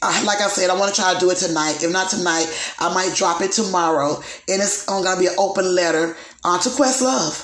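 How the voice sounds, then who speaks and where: Talking fairly quickly, a woman uses a medium pitch with ordinary pitch variation. Audible room echo and noticeable background noise are present. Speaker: podcast host. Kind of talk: casual gossip chat.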